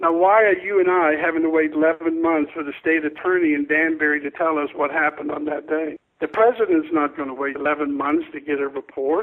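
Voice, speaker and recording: The delivery moves at a fairly quick pace with hardly any pauses and fairly even intonation. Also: man, fairly high pitch for a man. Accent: American. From Florida. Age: 60s. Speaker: school safety expert. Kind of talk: radio interview. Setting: phone call. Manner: emphatic.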